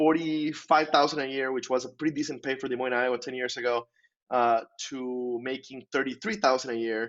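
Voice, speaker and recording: At a fairly quick pace, a man with a Spanish accent talks at a medium pitch with fairly even intonation. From Costa Rica. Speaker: insurance professional and author. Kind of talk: podcast interview.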